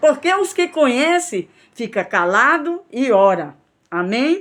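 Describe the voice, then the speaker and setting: Very slow speech from a woman, full of very wide pitch swings. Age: 60s. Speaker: missionary preacher. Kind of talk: sermon.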